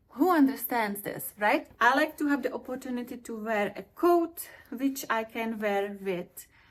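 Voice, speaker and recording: The speech runs at a fairly slow pace with hardly any pauses. Its intonation is lively, and its loudness swings widely. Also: woman, high pitch for a woman. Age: 40s. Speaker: fashion vlogger. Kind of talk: product review vlog.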